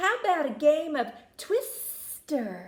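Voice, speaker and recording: A woman puts on a character voice, high-pitched, fairly slow, and swinging very widely in pitch. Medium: read story. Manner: drawling, polite.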